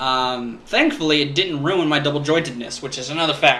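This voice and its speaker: A man at a fairly quick pace with audible room echo. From Florida, moved to Seattle as a child. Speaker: YouTuber, vlogger. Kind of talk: casual vlog. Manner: hesitant, many fillers.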